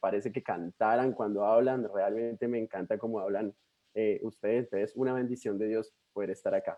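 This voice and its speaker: A man talks with a strong Colombian accent. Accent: Colombian, still strong. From Colombia, Bogotá. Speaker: missionary. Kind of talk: sermon.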